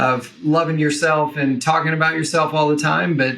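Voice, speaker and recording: A man with an American accent, fairly even intonation and a fairly quick pace. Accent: Southern, suppressed. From US South, Western Kentucky. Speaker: entrepreneur, personal branding expert. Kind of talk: casual interview chat.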